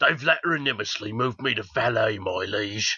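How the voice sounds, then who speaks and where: A man uses a put-on character voice at a medium pitch. It sounds raspy, and he keeps a moderate pace. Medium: comedy sketch.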